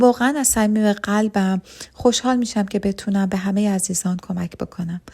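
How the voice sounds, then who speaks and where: Her voice is somewhat breathy and dark, mellow in tone, at medium pitch for a woman. She keeps a moderate pace and fairly even intonation in a very clean recording with a silent background. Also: dry, close sound with no echo. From Iran. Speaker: pharmacy technician promoting an online business. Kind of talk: sales pitch.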